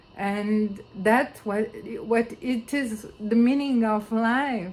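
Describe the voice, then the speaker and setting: A woman with a non-native accent speaks at a fairly high pitch, somewhat breathy and with fairly even intonation, in a room with audible echo. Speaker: philosopher and researcher. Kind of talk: video conference talk. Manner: halting, many fillers.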